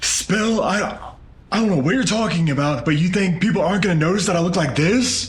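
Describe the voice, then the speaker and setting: A man puts on a high-pitched character voice at a fairly quick pace, with ordinary pitch variation, very even loudness and an audible echo. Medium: short film. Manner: pleading, shaken.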